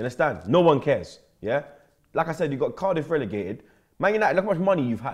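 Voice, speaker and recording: A man at a very fast pace, fairly high in pitch with very wide pitch swings and vocal fry, against a quiet background. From London. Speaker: football fan pundit. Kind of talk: casual banter; casual football debate. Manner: animated. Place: studio.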